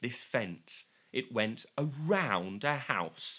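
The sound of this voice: Lively intonation in an unforced reading voice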